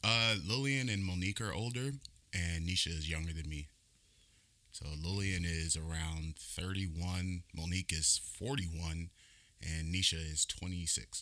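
A man's very deep, low voice with a bright, sharp tone, an American accent, ordinary pitch variation and a fairly slow pace. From California. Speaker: army veteran. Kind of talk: casual interview.

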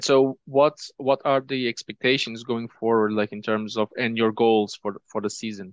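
This man's voice sits at a medium pitch, moving at a moderate pace with fairly even intonation and hardly any pauses, in a dry, close sound with no echo and a quiet background. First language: Portuguese. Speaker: podcast host. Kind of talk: podcast interview. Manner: halting, many fillers.

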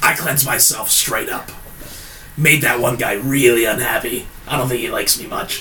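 A man's raspy, put-on character voice, with clear background noise. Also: medium pitch for a man, moderate pace. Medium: actual play. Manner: hesitant, conversational.

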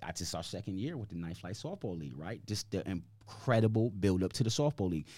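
In a very clean recording with a silent background, a man with an American accent speaks very fast and with hardly any pauses, his fairly low, somewhat breathy voice carrying a dark, mellow tone and lively intonation. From Hartford, Connecticut, US. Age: 40s. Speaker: community basketball league founder. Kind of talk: casual interview. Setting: podcast studio.

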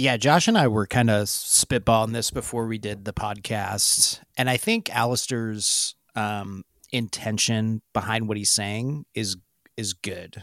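A man uses a plain, everyday voice at a medium pitch, with fairly even intonation and a fairly slow pace. The sound is dry and close with no echo, in a very clean recording with a silent background. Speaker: podcast co-host. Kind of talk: casual podcast discussion.

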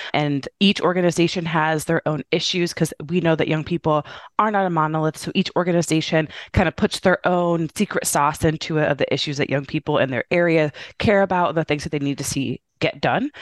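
A woman with an American accent speaks at a fairly quick pace in a fairly low pitch, with a plain, everyday voice. The background is quiet, and the sound is dry and close with no echo. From Indiana, US Midwest. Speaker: youth voting organization executive. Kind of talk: interview.

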